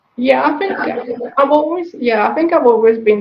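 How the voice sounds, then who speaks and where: A woman speaks with an Italian accent. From Italy (small village, northeast). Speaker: digital marketing consultant, business founder. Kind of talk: interview. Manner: halting.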